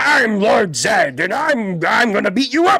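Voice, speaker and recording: A put-on character voice speaks at a moderate pace, pitched fairly high. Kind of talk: generic obligatory villain voice. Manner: blustery, threatening.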